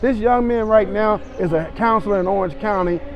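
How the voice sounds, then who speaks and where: With audible room echo and noticeable background noise, a man speaks at a high pitch with ordinary variation. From Los Angeles, Compton. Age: 60s. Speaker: youth basketball coach. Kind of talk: interview. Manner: animated.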